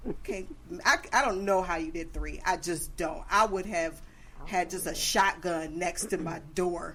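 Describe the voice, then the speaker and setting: An animated woman's voice, fairly low in pitch and fairly slow, with noticeable background noise. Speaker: podcast host. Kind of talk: casual chat. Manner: loud.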